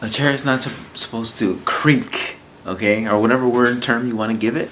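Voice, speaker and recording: Noticeable noise sits in the background while a man delivers his words fairly quickly. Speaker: YouTuber vlogger. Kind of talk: casual vlog monologue. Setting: at home at night, to camera. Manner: halting, repetitive.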